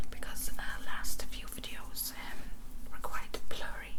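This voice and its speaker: A woman whispers at a fairly slow pace. Noticeable background noise can be heard behind her. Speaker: ASMR creator. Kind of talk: casual talk to camera, ASMR get-ready-with-me ramble. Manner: whispered, soft-spoken.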